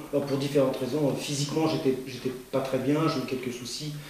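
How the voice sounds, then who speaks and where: A man talks at a fairly quick pace, with noticeable background noise and audible room echo. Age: 60s. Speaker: amateur cyclist, club secretary. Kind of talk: interview. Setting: at his home. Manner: halting, many hesitations and repetitions.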